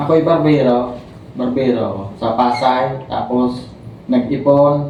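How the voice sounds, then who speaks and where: A man speaks at a medium pitch in a monotone, flat delivery, with audible room echo and light background noise. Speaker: stroke survivor and barber. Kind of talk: testimony. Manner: halting. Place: home room. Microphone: camera far.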